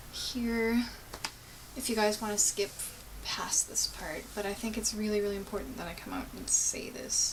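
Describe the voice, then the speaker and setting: Against noticeable background noise, a woman with a Canadian accent speaks at a moderate pace with a fairly high pitch and fairly even intonation. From Gatineau, Quebec, Ottawa area, Canada. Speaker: vlogger. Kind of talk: casual vlog monologue. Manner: halting.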